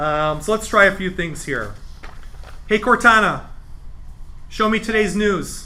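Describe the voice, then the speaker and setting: Raising and projecting his voice, a man with an American accent speaks fairly slowly at a high pitch in a bright, sharp tone, with ordinary pitch variation and long, frequent pauses. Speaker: computer class instructor. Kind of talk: live tutorial class. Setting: library room with live audience. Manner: conversational, with filler words.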